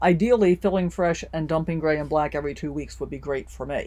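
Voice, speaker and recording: This woman speaks with an American accent and ordinary pitch variation. Vocal fry runs through her voice. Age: 60s. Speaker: RV lifestyle vlogger. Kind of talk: tutorial. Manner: casual, friendly.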